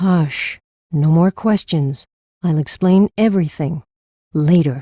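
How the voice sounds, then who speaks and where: In a put-on character voice at a middle pitch, the speaker goes at a fairly slow pace with long, frequent pauses. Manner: brisk, practical.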